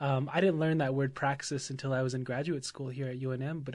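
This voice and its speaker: Talking at a very fast pace, a man with an American accent has a somewhat breathy voice, fairly high pitch and fairly even intonation. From Oklahoma. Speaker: high school teacher. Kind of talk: interview.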